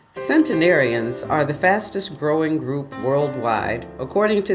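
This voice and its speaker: Someone speaks at a moderate pace with music in the background. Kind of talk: documentary narration.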